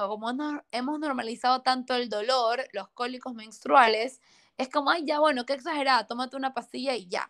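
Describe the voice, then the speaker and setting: In a very clean recording with a silent background, a woman speaks fairly quickly in a high voice with fairly even intonation. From Ecuador. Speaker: nutrition and hormonal health professional. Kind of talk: interview, health explanation.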